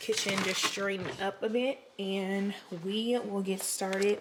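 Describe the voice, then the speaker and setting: A woman speaks at a medium pitch with fairly even intonation. Noticeable background noise is present. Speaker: lifestyle vlogger. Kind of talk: casual vlog.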